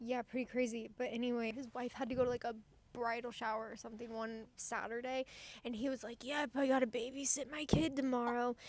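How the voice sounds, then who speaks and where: Loud and high-pitched, a woman's voice moves at a fairly quick pace. Her intonation stays monotone and flat. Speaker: podcast co-host. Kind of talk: casual chat. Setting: inside a store.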